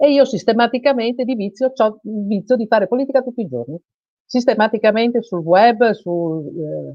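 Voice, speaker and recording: An ordinary speaking voice moves at a moderate pace. The intonation is lively. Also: woman, fairly high pitch for a woman. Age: 60s. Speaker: self-employed workers' union representative. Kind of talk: live TV interview. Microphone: unstable internet connection.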